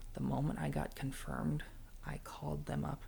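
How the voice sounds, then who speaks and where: Someone whispers at a fairly slow pace. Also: man. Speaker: ASMR content creator. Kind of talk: ASMR personal storytelling ramble. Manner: soft-spoken, rambling, vulnerable.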